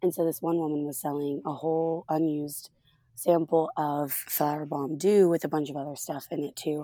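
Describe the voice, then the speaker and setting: Loud and dark, mellow in tone, a woman speaks. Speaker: podcast co-host. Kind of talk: casual chat. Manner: energetic.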